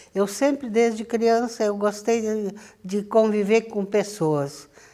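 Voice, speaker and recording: A woman speaks very slowly at a medium pitch, her tone dark and mellow, in a very clean recording with a silent background. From southern Brazil. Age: 80s+. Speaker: local community elder, former councillor. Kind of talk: oral history interview. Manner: halting.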